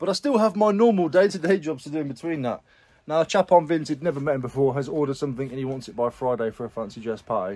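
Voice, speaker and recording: The speech moves at a very fast pace. The background is quiet. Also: man. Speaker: reseller vlogger. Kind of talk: casual vlog chat. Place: garage. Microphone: phone near.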